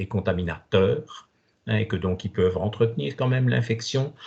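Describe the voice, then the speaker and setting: A man speaks somewhat breathily at a fairly slow pace, with ordinary pitch variation. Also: quiet background. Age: 70s. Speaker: doctor. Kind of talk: Q&A in online talk. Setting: online video conference. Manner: hesitant, many fillers.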